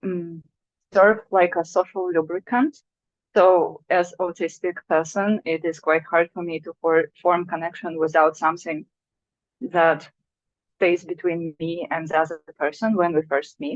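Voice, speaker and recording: Speaking at a fairly slow pace, a woman with a Russian accent has a fairly low pitch. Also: fairly even intonation. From Russia (Sakhalin Island). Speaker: artist. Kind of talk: artist talk. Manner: halting.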